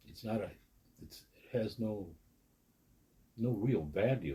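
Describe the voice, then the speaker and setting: This man's voice is fairly low in pitch, with a dark, mellow tone, vocal fry and ordinary pitch variation. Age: 80s+. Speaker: recovering alcoholic interviewee. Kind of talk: interview, personal testimony. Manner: halting, repeats words.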